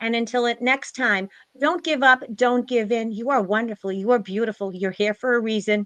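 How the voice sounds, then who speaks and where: A woman's fairly high voice at a moderate pace, with ordinary pitch variation and a dry, close sound with no echo. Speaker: spiritual live stream host. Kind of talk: closing remarks of a live stream panel. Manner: loud.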